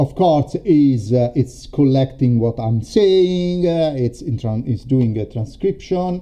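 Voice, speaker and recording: With an Italian accent, a man speaks at a very slow pace with hardly any pauses, lively intonation, and a dark, mellow tone. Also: medium pitch for a man. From Italy. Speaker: storytelling coach. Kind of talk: live stream demo. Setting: live stream. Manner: halting, many fillers.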